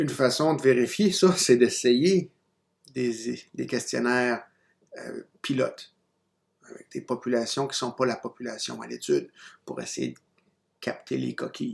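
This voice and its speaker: A man speaks at a fairly slow pace with long, frequent pauses. His loudness shifts in big swings. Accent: non-native. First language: not French (speaking French). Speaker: university lecturer. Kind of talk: recorded lecture. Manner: hesitant, many fillers and restarts.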